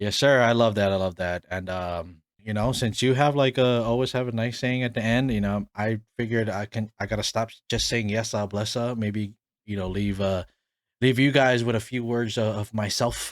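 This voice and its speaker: The recording is very clean, with a silent background. A man speaks at a medium pitch and moderate pace in an ordinary speaking voice with fairly even intonation. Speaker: podcast host. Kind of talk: casual chat.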